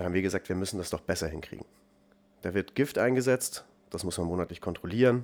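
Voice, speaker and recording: A man with a very deep, low voice talks fairly quickly. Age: 20s. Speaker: startup founder and CEO. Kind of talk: interview conversation.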